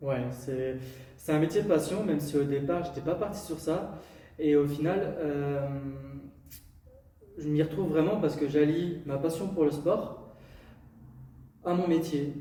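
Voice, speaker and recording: Very slowly, a man speaks with fairly even intonation and long, frequent pauses. The recording has audible room echo and noticeable background noise. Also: fairly high pitch for a man. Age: 20s. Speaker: sports coach. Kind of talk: podcast interview.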